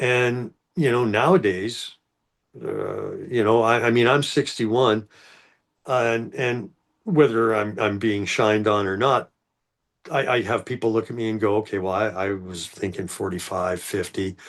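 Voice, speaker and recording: A man with a Canadian accent talks at a moderate pace and medium pitch, with ordinary pitch variation, in an unremarkable speaking voice. The background is quiet. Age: 60s. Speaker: former corrections worker. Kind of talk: casual chat.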